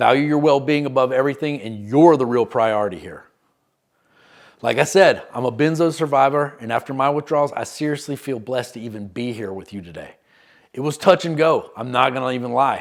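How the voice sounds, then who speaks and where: A man speaks at a fairly quick pace with ordinary pitch variation and big swings in loudness. The recording is very clean, with a silent background. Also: medium pitch for a man. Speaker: recovery coach, former benzodiazepine user. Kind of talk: scripted educational narration.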